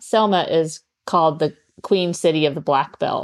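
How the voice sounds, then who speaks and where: A woman with an unremarkable speaking voice talks at a fairly slow pace with ordinary pitch variation. The sound is dry and close with no echo, over a quiet background. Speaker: artist, community organizer. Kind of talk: interview conversation.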